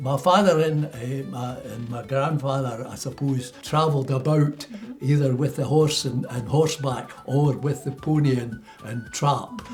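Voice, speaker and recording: A man with a Scottish accent speaks at a fairly slow pace in a fairly high pitch, his intonation fairly even, with music playing in the background. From Scotland, Milton of Campsie. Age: 90s. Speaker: retired dairy farmer. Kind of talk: interview answer.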